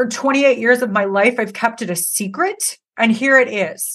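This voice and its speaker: A loud, animated woman's voice, fairly high in pitch, bright and sharp in tone, at a moderate pace. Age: 40s. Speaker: hair stylist and educator. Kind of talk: casual interview chat.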